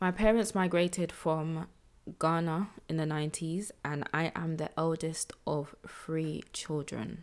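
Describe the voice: A woman speaks at a low pitch with fairly even intonation. Her pace is fairly slow.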